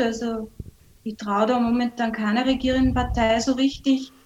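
A woman's high voice comes through over noticeable background noise. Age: 50s. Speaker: adult educator and human rights commentator. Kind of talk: radio interview.

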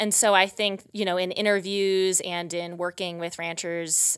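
A woman with an American accent speaks in a plain, everyday voice. Her pitch is medium and her intonation fairly even. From US Midwest, rural Wisconsin. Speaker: PhD student, researcher. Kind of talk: interview. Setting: studio.

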